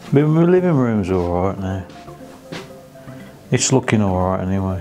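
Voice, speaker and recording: Moderate-paced speech from a man with a fairly low pitch, over background music. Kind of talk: casual talk to camera.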